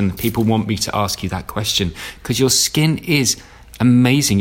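Noticeable background noise runs under the clip. A man speaks with ordinary pitch variation. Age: 40s. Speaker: podcast host. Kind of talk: product review; interview.

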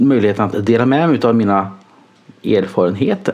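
Speaking, a man sends his pitch soaring and dropping over a very wide range. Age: 30s. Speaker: nurse. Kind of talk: personal monologue. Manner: halting.

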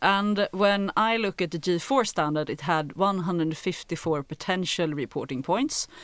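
Speaking with a Swedish accent, a woman has a medium-pitched voice. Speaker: podcast co-host. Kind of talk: interview.

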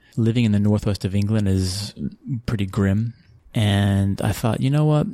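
With a Texan accent, a man speaks at a moderate pace in a dark, mellow tone. His pitch is fairly low, with ordinary variation. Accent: Texan American. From Texas (Abilene, San Antonio). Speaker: sports marketing executive. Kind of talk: interview.

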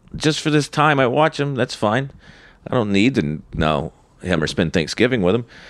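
An American-accented man with vocal fry, very wide pitch swings and very even loudness, in a very clean recording with a silent background. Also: medium pitch for a man, moderate pace. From North Carolina, US South. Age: 40s. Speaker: stand-up comedian. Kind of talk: casual interview chat, storytelling.

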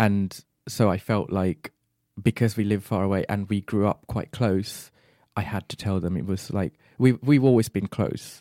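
Recorded dry and close with no echo, a man with a fairly low pitch and a dark, mellow tone speaks with fairly even intonation. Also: moderate pace, very clean recording, silent background. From Bahrain and Sri Lanka. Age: 30s. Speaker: PhD student, podcast guest. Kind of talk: casual interview.

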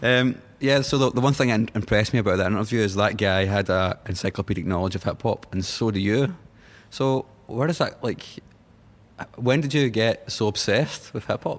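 A man talks at a fairly quick pace. His pitch is medium, with ordinary variation. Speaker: podcast host. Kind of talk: interview. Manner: loud.

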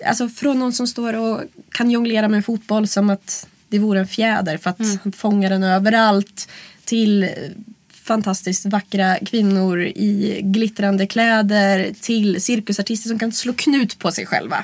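A woman speaks at a fairly slow pace, somewhat breathy, with fairly even intonation. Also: medium pitch for a woman. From rural Sweden. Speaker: burlesque performer and club producer. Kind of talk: interview.

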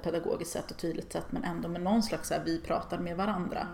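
A woman talks at a very fast pace in a fairly low voice. Her pitch varies in an ordinary way, and there is noticeable background noise. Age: 40s. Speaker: feminist online writer and artist. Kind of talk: casual interview chat.

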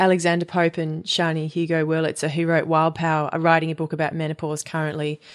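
Talking very fast with hardly any pauses, a woman has an Australian accent. Her fairly low voice stays monotone and flat. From Perth, Western Australia. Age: 30s. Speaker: musician and menstrual cycle educator. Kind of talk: casual interview chat. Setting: her home loft.

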